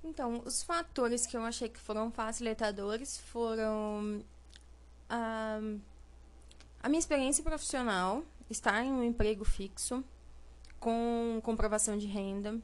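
A woman's fairly high voice with ordinary pitch variation, a fairly slow pace, long, frequent pauses and big swings in loudness. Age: 20s. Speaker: administrative assistant and first-time home buyer. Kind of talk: interview.

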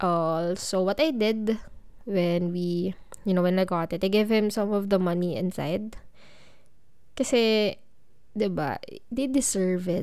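Speaking with a Filipino accent at a medium pitch, a woman uses ordinary pitch variation at a fairly slow pace. She leaves long, frequent pauses on a very clean recording with a silent background. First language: Tagalog. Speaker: podcast host. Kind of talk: personal storytelling monologue.

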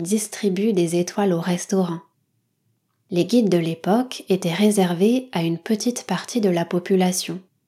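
Fairly slow and fairly even in intonation, a woman speaks. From French Basque Country. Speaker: podcast host for French learners. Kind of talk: educational monologue for language learners. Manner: clear, measured pace for learners.

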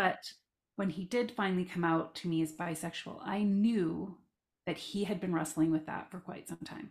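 A woman speaks with a Canadian accent at a moderate pace. Her voice is fairly low and somewhat breathy, with ordinary pitch variation. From Southern Alberta, Canada. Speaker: life coach and parent of transgender child. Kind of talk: casual interview, personal story.

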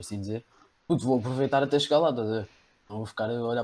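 At a very fast pace, a man speaks at a medium pitch with ordinary pitch variation in a very clean recording with a silent background. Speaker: podcast guest, friend of hosts. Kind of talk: casual chat.

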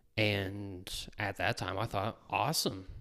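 A man speaks with an Atlantic Canadian accent. The recording is very clean, with a silent background. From New Brunswick, Canada. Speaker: former cook. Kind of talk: casual interview. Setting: at the host's house.

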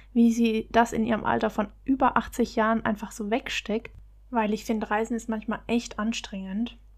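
Very clean and free of background sound, the recording has a woman speaking at a moderate pace in a fairly high voice with monotone, flat intonation. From Baden-Württemberg, Germany. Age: 20s. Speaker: travel podcaster. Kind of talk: solo podcast monologue.

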